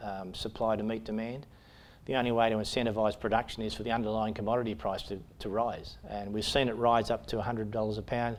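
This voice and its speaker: A man's monotone, flat delivery at a very fast pace, with audible room echo. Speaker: mining company chief executive. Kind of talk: investment pitch presentation. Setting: conference stage with audience. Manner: hesitant, many fillers.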